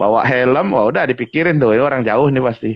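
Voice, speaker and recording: Middle-range pitch from a man, with normal rises and falls. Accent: Lampung. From Indonesia, Lampung. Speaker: guest, Lampung community figure with customary title. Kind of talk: casual interview chat.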